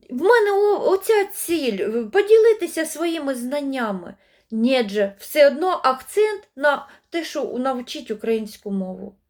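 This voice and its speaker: This woman's voice is high-pitched and swings very widely in pitch. She talks at a very slow pace. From eastern Ukraine, Luhansk region. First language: Russian (speaking Ukrainian). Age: 50s. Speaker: language-learning video blogger. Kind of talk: monologue to camera.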